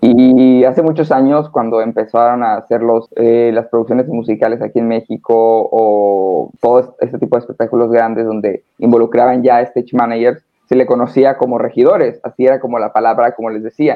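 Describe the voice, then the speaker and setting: Speaking at a fairly quick pace, a man at medium pitch keeps a monotone, flat intonation. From northern Mexico, Hermosillo, Sonora. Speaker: stage manager. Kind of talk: casual interview.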